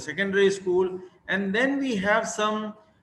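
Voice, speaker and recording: Here a man talks at a moderate pace, his high pitch carried by lively intonation. Noticeable background noise runs underneath. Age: 60s. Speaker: university vice chancellor and vaccine scientist. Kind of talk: keynote talk at online summit. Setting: web summit, video call. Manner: halting, many fillers.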